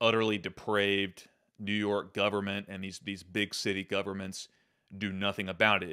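A man's fairly low, bright, sharp voice at a moderate pace against a quiet background. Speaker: show host. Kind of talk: political commentary. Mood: angry, indignant. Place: home room. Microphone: studio mic.

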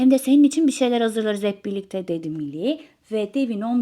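With lively intonation, the text is read out in a plain way.

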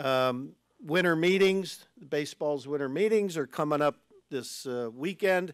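A man with an American accent at a fairly slow pace, ordinary pitch variation, dry sound with no echo and a quiet background. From Ohio, Lakewood; Ohio. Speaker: baseball team executive; guest. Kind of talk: speech to club meeting. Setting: stage with audience. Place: hall. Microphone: podium.

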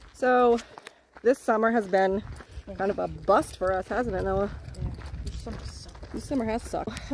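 Recorded dry with no echo but with noticeable background noise, a woman speaks at a moderate pace. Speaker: vlogger parent. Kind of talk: casual vlog chat. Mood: light, joking. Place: forest. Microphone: phone near.

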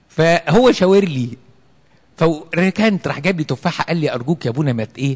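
A man talks at a moderate pace with lively intonation and an animated, somewhat breathy tone. The background is quiet. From Egypt. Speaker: priest. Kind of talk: sermon. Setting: church with congregation. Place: church. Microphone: handheld.

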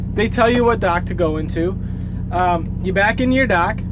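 Noticeable background noise fills the recording. Through it, a man can be heard talking. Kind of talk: casual vlog chat. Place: car. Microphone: phone near.

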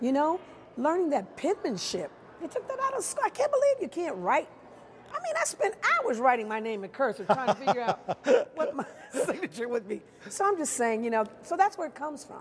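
A woman with an American accent, high-pitched and talking fairly quickly, with very wide pitch swings over light background noise. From Chicago. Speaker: stage actress, musical theatre performer. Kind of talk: interview answer. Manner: warm, expressive, lively. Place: hall.

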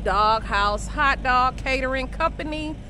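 A woman can be heard over noticeable background noise. The sound is dry, with no echo. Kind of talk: casual vlog chat. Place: street. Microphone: earbuds.

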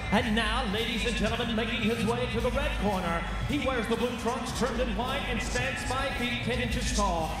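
Over loud background noise and audible room echo, a man talks at a moderate pace with hardly any pauses. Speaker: MMA cage announcer. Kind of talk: live fight announcement, ring announcer introduction. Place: stadium. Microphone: handheld.

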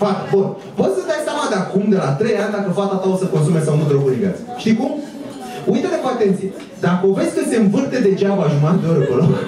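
With noticeable background noise and audible room echo, the words come out very fast. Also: man. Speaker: stand-up comedian. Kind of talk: stand-up comedy routine. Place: stage.

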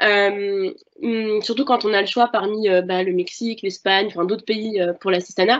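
Fairly even intonation and a moderate pace from a woman. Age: 20s. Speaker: French language assistant. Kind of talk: testimony. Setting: video conference. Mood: friendly, relaxed. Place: home room. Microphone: video call.

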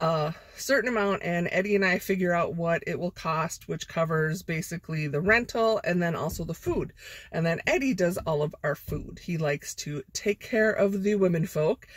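Somewhat breathy and fairly low-pitched, a woman speaks in a dry recording with no echo. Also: ordinary pitch variation, moderate pace, quiet background. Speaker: vlogger. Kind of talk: casual vlog chat. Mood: cheerful and chatty. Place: car. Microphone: phone near.

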